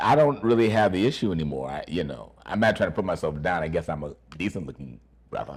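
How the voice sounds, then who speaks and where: A man is speaking. His intonation is lively. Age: 60s. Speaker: actor and acting teacher. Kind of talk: interview.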